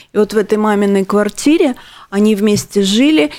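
A moderate pace and ordinary pitch variation in an ordinary speaking voice. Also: woman. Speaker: radio host. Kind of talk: charity radio show.

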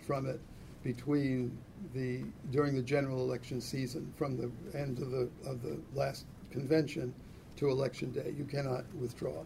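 At a moderate pace, a man with a medium pitch speaks in a dark, mellow tone that is somewhat breathy. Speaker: magazine editor and political writer. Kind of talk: lecture. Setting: stage with audience.

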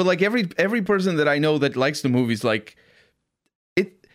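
A man with a Portuguese accent talks at a fairly quick pace with lively intonation, very even loudness, and long, frequent pauses. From Portugal. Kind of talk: casual chat.

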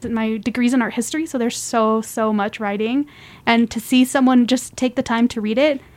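A woman with an American accent speaks in a normal speaking voice at a fairly high pitch. Her pace is fairly quick and her intonation fairly even. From Reno, Nevada, US. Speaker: art history graduate and curator. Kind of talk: casual interview.

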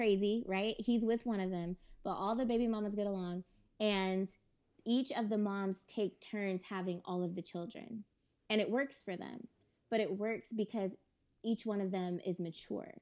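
A woman with an American accent talks at a moderate pace and medium pitch, her dark, mellow tone carrying fairly even intonation. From California. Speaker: podcast guest. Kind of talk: casual chat.

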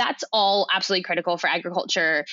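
With a Californian accent, a woman speaks at a very fast pace. Her pitch is medium. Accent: Californian American. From California, US. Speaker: food systems consultant, CEO. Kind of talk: interview.

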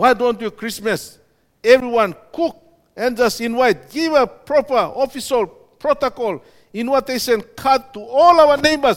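On a very clean recording with a silent background, a man speaks in an extremely high pitch with lively intonation. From Papua New Guinea, Oro (Popondetta) province. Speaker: pastor and missionary. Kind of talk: sermon.

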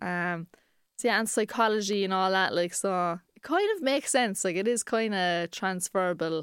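A woman with a Cork accent talks at a moderate pace and medium pitch, her pitch varying in an ordinary way. The sound is dry and close with no echo, and the recording is very clean with a silent background. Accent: Cork Irish. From Ireland, Cork. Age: 20s. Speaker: comedian. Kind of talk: casual chat.

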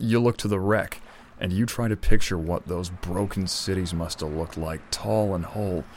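At a moderate pace, the speaker uses a weary tone and ordinary pitch variation. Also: man, very deep, low pitch for a man. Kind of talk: noir western narration. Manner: weary, world-worn, laconic.

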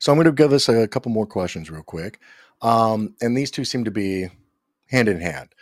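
Speech comes at a fairly quick pace with an enthusiastic tone and lively intonation. The recording is very clean, with a silent background. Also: man. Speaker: livestream host, cybersecurity content director. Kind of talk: live tech panel stream.

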